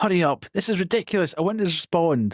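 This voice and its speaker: The speaker has a Scottish accent and a fairly quick pace. The recording is very clean with a silent background. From Scotland. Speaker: streamer. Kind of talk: live stream chat. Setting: live stream.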